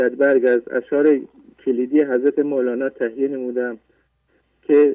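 Here a man talks at a fairly slow pace. His pitch is fairly high. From Iran, Semnan. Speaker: caller. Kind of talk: reading prepared notes. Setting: phone call.

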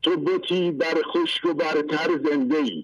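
A man is speaking. His pace is very slow. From Iran, rural Fasham area near Tehran. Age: 50s. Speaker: caller. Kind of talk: testimony. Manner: animated.

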